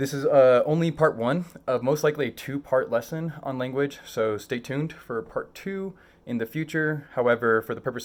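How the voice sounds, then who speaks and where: Moving at a moderate pace, a man's medium-pitched voice carries ordinary pitch variation. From Mexico, raised in the United States. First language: Spanish. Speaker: graduate student teacher. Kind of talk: online lesson introduction. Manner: hesitant, many fillers.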